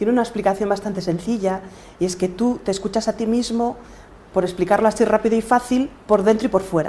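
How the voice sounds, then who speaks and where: Using an unremarkable speaking voice, a woman with a fairly high pitch speaks at a fairly quick pace with fairly even intonation. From Galicia, Spain. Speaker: podcaster and coach. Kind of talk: interview.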